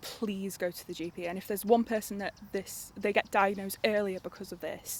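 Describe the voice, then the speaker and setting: A woman at medium pitch with a North Welsh accent, her intonation monotone and flat. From North Wales. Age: 20s. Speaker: cancer patient, university student. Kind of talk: interview testimony. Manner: hesitant, halting.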